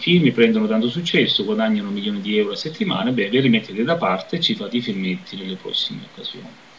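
A man talks at a very fast pace with hardly any pauses. His intonation is lively, and light background noise can be heard. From southern Italy. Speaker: video blogger; vlogger commenting on politics. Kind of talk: personal commentary monologue. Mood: critical, reflective. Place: home room. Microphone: webcam.

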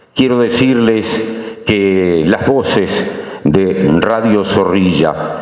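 A man speaks very slowly, his pitch fairly low with ordinary variation. Audible room echo surrounds the voice. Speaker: speaker. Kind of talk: ceremonial speech. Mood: nostalgic tribute. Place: hall. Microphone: podium.

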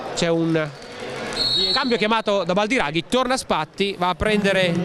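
Noticeable background noise behind a man's voice. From Italy. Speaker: basketball commentator. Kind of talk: live sports commentary. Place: stadium.

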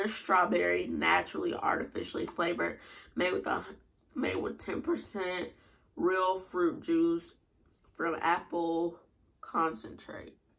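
A woman speaks at a fairly slow pace with a fairly low pitch and vocal fry. Her tone is fairly bright, with little pitch movement.

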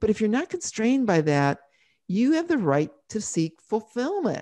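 A woman speaks with very wide pitch swings. The background is quiet. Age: 60s. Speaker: author and former journalist; former journalist. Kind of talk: interview. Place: home room. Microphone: studio mic.

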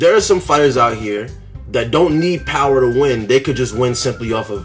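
Faint music plays in the background while the speaker's pitch varies in an ordinary way. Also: man. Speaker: sports commentator vlogger. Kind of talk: casual commentary. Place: home room. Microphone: phone near.

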